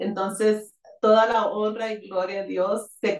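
Very slow female speech with fairly even intonation. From Arizona, Tucson. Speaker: pastor's wife. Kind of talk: testimony.

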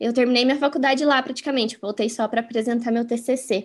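A woman with a high pitch and ordinary pitch variation is heard on a very clean recording with a silent background. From Curitiba, southern Brazil (moved from interior São Paulo aged 3-4). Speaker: communications professional. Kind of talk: interview.

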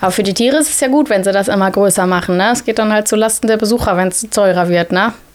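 Speaking very fast with ordinary pitch variation, a woman leaves hardly any pauses. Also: medium pitch for a woman. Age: 30s. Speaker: primary school teacher. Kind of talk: casual interview.

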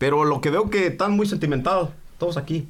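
The man speaks at a fairly quick pace. Room echo is audible. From Mexico. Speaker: podcast co-host. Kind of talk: casual chat.

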